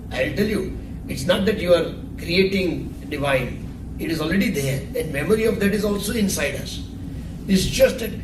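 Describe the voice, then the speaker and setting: Noticeable background noise and audible room echo surround a man's high-pitched voice. He talks at a moderate pace with ordinary pitch variation. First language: not Hindi or English. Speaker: spiritual teacher. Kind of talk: spiritual discourse. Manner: halting.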